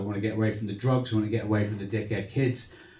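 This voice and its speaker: A man talks at a very fast pace with medium pitch, and the room echo is audible. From Torquay, Devon, South West England. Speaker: stand-up comedian. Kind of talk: stand-up. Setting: stage with audience in a social club. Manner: animated.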